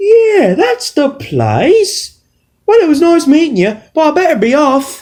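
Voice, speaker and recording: This cartoonish character voice sits high in pitch and makes very wide pitch swings. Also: fairly slow pace. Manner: vague, easily confused.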